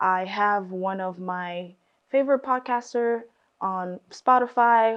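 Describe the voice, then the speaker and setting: The woman's intonation is fairly even, and the background is quiet. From raised in the US, born in Congo. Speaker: podcast host, student. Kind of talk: casual self-introduction monologue. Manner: halting, many fillers.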